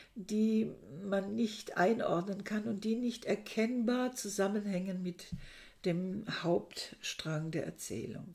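A somewhat breathy woman speaks at a fairly high pitch with ordinary pitch variation. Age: 60s. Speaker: book reviewer. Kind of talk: book review monologue. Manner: hesitant, with frequent fillers. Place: home room. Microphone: webcam.

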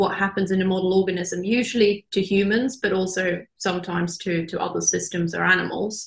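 With hardly any pauses and a fairly quick pace, a somewhat breathy woman speaks in a monotone, flat intonation amid audible room echo. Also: quiet background. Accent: Norwegian. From Norway. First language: Norwegian. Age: young. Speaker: marine biologist; guest. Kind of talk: interview. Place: office. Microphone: video call.

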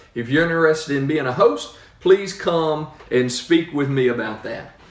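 A man at a moderate pace, with audible room echo. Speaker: church pastor. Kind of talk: sermon-style address and prayer. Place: home room. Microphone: phone near.

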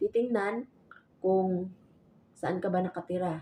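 The pace here is fairly slow. A woman talks at a medium pitch. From Visayas, Philippines. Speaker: vlogger and overseas domestic worker. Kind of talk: vlog tutorial. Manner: halting with fillers.

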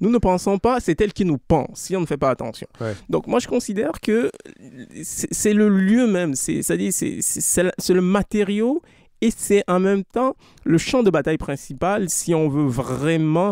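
In a West African accent, a man with a high pitch and a dark, mellow tone speaks at a fairly slow pace, with a dry, close sound and no echo. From Togo. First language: Anufo (speaking French). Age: young. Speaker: author. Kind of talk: interview.

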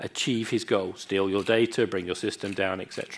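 A man at a moderate pace. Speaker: conference speaker. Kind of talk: lecture. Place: hall.

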